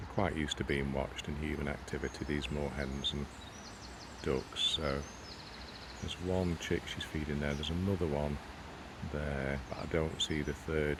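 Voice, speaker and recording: A quiet man with a very deep, low pitch speaks at a moderate pace in a monotone, flat way, with long, frequent pauses and noticeable background noise. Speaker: nature vlogger. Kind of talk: casual outdoor vlog narration. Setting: outdoors by a pond.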